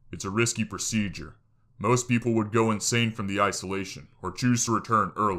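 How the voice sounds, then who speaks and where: A man puts on a gruff character voice with a fairly low pitch at a fairly quick pace. The recording is very clean with a silent background. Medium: read story.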